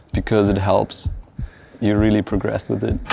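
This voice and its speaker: Light background noise is present. A man speaks at a moderate pace, the sound dry with no echo. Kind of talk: interview answer. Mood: calm, reflective. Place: factory.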